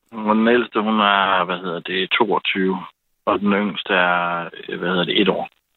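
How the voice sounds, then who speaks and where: Very slow and in a monotone, flat intonation, a man speaks at a fairly low pitch. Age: 40s. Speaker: caller. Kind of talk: casual chat. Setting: phone call.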